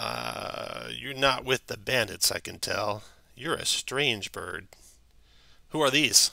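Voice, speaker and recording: This is a put-on character voice from a man, raspy in texture. He delivers it at a fairly slow pace. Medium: actual play. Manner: gruff.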